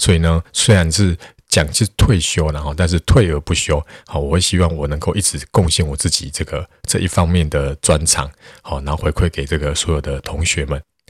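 A man with a very deep, low voice speaks with fairly even intonation. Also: moderate pace. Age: 40s. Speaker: math tutor and podcaster. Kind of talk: solo podcast monologue. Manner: casual, many filler particles.

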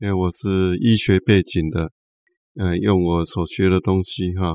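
Against a quiet background, a man with a very deep, low pitch speaks at a fairly slow pace, the sound dry and close with no echo. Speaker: pastor and prison ministry worker. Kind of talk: interview.

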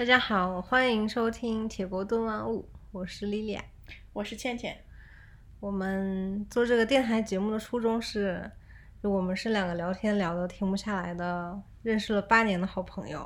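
A soft-spoken woman talks at a moderate pace with a slight Northeastern Chinese accent. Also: medium pitch for a woman, fairly even intonation. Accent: little Northeastern. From Northeast China. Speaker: podcast co-host. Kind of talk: casual chat.

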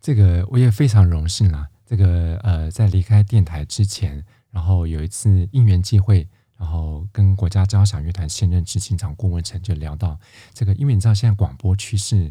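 A man's very deep, low voice, dark and mellow in tone, somewhat breathy, with ordinary pitch variation at a moderate pace. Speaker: classical music radio host. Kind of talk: casual interview chat.

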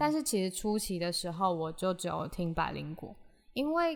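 A woman speaks at a medium pitch with lively intonation while music plays in the background. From Taiwan, Hsinchu. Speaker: podcast host. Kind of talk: solo podcast monologue. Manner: chatty, code-switching with English.

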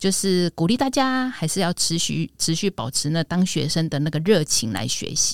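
With a dry, close sound and no echo, a woman speaks in a normal speaking voice at a medium pitch, with lively intonation and a moderate pace. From Taiwan, Yilan. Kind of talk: casual chat.

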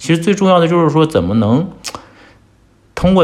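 A fairly high-pitched man talks at a very fast pace with very wide pitch swings. Noticeable background noise and audible room echo fill the recording. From China. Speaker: entrepreneur. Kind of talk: casual chat.

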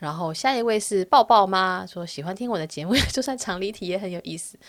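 A woman with a Taiwanese accent and medium pitch speaks at a fairly quick pace with lively intonation. The recording is very clean, with a silent background. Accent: Taiwanese Mandarin. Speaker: podcast host. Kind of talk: solo podcast monologue. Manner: chatty, casual.

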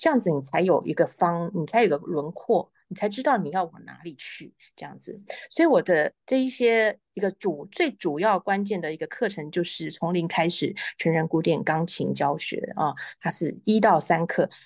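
A woman with a normal speaking voice, fairly low in pitch with ordinary pitch variation, at a moderate pace with big swings in loudness, against a quiet background. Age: 40s. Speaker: pianist, piano teacher and author. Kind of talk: interview. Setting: live stream.

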